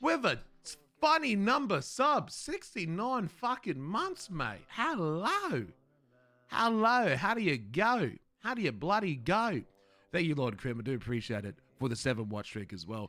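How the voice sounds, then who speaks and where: At a fairly slow pace, a man with an Australian accent speaks at a high pitch in a bright, sharp tone, with very wide pitch swings. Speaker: streamer. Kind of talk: casual chat.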